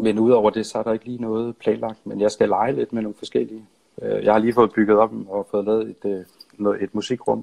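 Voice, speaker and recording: The dry, close sound with no echo carries a man speaking at a moderate pace. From Denmark, Funen (Nyborg). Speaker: songwriter and musician. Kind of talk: casual interview. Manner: halting.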